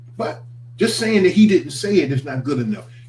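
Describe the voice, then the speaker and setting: A man speaks at a moderate pace and fairly high pitch in an animated tone, with very wide pitch swings. Noticeable background noise is present. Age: 60s. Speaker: minister. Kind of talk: morning reflection broadcast.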